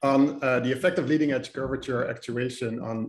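A man speaks at a moderate pace with ordinary pitch variation. There is audible room echo. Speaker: speaker. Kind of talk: lecture. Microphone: video call.

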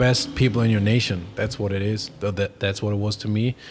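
Background noise is noticeable behind the speaker's fairly even intonation. The voice carries a German accent. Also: man. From Germany. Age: 20s. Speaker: professional footballer; podcast guest. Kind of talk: interview. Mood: reflective, emotional recollection. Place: home room. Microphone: studio mic.

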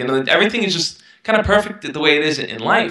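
A man with a New York accent talks at a fairly quick pace with lively intonation. The background is quiet, but audible room echo colors the sound. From Brooklyn, New York. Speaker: self-help YouTuber. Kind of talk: interview. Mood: reflective, earnest. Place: home room. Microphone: headset.

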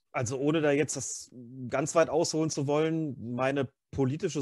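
He has an unremarkable speaking voice with a fairly high pitch and ordinary pitch variation. His pace is moderate, and the background is quiet. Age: 50s. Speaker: freelance journalist and author. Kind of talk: casual chat. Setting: video call.

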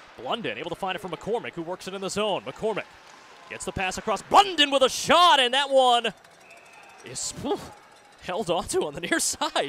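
A man speaks in a raised, projected voice that is high-pitched, animated and energetic, with very wide pitch swings, big swings in loudness, and long, frequent pauses, over noticeable background noise. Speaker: hockey play-by-play announcer. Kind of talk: live sports commentary, play-by-play of hockey highlights. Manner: fast, energetic.

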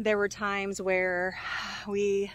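The recording of this woman sounds dry, with no echo. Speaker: homesteader vlogger. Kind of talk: casual vlog chat. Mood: reflective, upbeat. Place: open country. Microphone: phone near.

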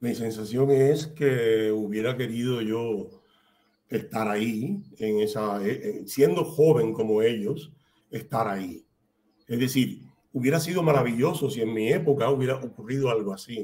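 A man's medium-pitched voice, dark and mellow in tone, at a fairly slow pace with ordinary pitch variation. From Cuba, Havana; Cuba. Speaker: writer and playwright; guest. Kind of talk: interview. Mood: reflective, calm. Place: home room.

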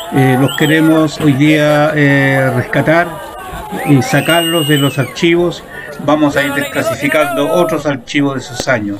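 Crowd noise sits behind a man with a fairly high voice, and the room echo is audible. He talks at a fairly slow pace. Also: fairly even intonation. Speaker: photojournalist. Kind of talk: commentary over archive footage. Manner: halting, many fillers.

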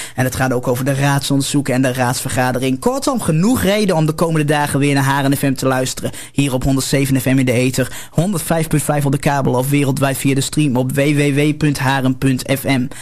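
Talking very fast with hardly any pauses, a man uses a fairly high pitch, fairly even intonation and very even loudness. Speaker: local radio presenter, producer and technician. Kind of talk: radio broadcast sign-off and programme announcements. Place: studio. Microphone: studio mic.

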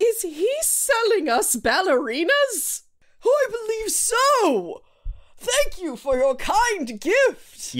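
A put-on character voice, extremely high, at a very slow pace with very wide pitch swings. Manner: polite, courtly, skeptical.

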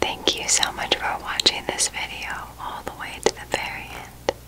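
Someone whispers at a fairly slow pace. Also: woman. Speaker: video host. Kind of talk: soft guided relaxation talk. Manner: soft, hushed ASMR outro voice. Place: home room.

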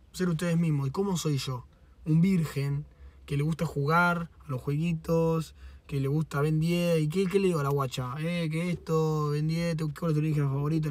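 A man with a Rioplatense accent talks at a moderate pace and a fairly high pitch, with fairly even intonation and a dry sound with no echo. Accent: Argentine Rioplatense Spanish. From Argentina. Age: 20s. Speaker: streamer. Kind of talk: casual livestream chat. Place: car. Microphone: phone near.

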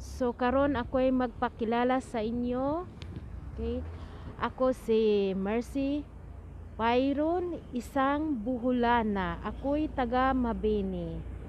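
At a very slow pace, a woman with a high pitch and ordinary pitch variation speaks in a dry sound with no echo over light background noise. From Philippines, Bohol (Visayas). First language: Cebuano (Bisaya) (speaking Tagalog). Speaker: vlogger. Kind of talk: casual vlog talk to viewers. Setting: outdoors waiting for train/bus on way to work. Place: street. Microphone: earbuds.

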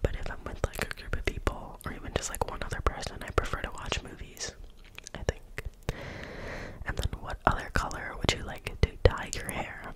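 A woman whispers at a moderate pace, with big swings in loudness. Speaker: ASMR creator. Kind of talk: casual talk to camera. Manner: whispered, soft-spoken. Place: home room. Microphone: studio mic.

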